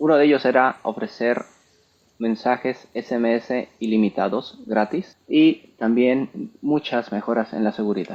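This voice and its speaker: This man speaks with a Mexican accent at a moderate pace, his medium pitch showing ordinary variation. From Mexico. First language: Spanish. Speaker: entrepreneur and software developer. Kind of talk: tech talk presentation. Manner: code-switching English and Spanish.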